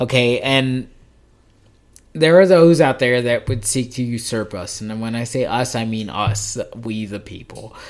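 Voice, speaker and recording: In an unremarkable speaking voice with an American accent, a man speaks at a fairly slow pace and medium pitch, with ordinary pitch variation and big swings in loudness, on a very clean recording with a silent background. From Las Vegas, Nevada. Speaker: podcast host. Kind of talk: casual chat.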